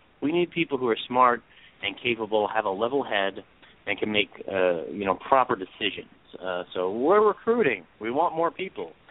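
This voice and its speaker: Lively intonation from a man, medium in pitch, at a moderate pace. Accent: New York. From New York (Brooklyn). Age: 30s. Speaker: real life superhero. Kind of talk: casual chat.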